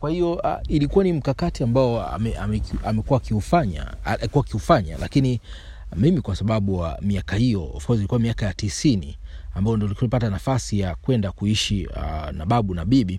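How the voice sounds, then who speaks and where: A man with a Kilimanjaro accent talks at a moderate pace in a fairly low, dark and mellow voice with vocal fry and very wide pitch swings. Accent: rural Kilimanjaro accent in Swahili. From Tanzania, Kilimanjaro (Moshi, Materuni village). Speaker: aspiring radio presenter, storyteller. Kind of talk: personal storytelling monologue. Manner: halting, with repetitions.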